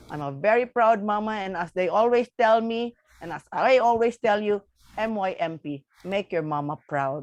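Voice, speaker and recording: A woman's fairly high voice at a moderate pace with very wide pitch swings, in a dry, close sound with no echo. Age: 50s. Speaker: past district governor of a service club. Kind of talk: emotional thank-you speech at virtual meeting.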